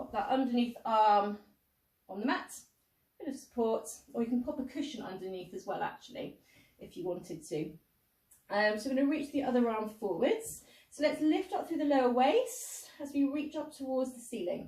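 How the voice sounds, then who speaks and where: High-pitched female voice at a moderate pace. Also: lively intonation. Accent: British. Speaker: pilates instructor. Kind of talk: exercise class instruction.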